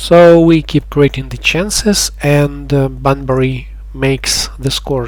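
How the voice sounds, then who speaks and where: A speaker with a non-native accent talks at a very slow pace. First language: not English. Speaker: gaming youtuber. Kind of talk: gameplay commentary. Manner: halting, with pauses.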